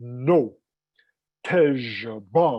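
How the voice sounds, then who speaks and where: A put-on character voice comes through guttural and throaty. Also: man. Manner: insistent, correcting.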